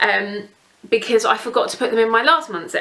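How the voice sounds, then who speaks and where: With an English accent, a woman speaks at a fairly quick pace in a fairly high pitch with lively intonation. Noticeable background noise is present. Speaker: beauty vlogger. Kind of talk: casual product review. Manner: fast.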